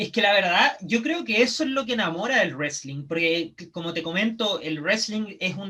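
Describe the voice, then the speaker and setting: With a Chilean accent and a raised, projected voice, a man speaks at a moderate pace in a high pitch, his intonation lively and hardly any pauses between words. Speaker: professional wrestler. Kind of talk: casual chat.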